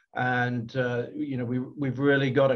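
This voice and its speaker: A man speaks with a British accent. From UK. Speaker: company technology executive. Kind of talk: business presentation. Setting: video call. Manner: halting, many fillers.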